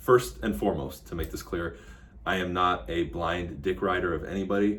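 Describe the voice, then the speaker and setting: A man's fairly quick speech carries audible room echo and noticeable background noise. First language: Spanish. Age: 30s. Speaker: real estate agent and online commentator. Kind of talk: casual political commentary vlog. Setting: office. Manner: blunt, casual, with frequent fillers.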